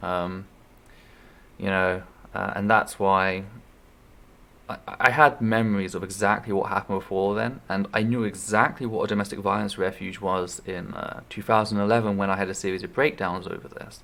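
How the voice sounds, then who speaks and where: This man has a fairly low pitch and a bright, sharp tone. He talks at a moderate pace with fairly even intonation. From Shetland Isles, Scotland. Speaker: streamer sharing personal story. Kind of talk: personal testimony. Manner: halting, many fillers and restarts.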